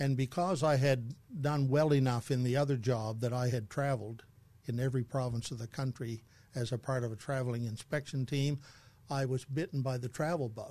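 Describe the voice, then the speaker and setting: A man with a Canadian accent speaks at a fairly quick pace in a medium pitch, somewhat breathy. His tone is dark and mellow over a quiet background. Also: fairly even intonation. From New Brunswick, Canada (Saint John). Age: 70s. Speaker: retired church leader. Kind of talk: interview conversation. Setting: studio.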